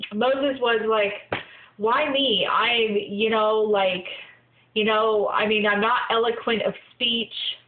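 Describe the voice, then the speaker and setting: A woman speaks very slowly with very even loudness and fairly even intonation, and audible room echo surrounds her voice. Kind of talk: inspirational video log talk. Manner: halting, many fillers.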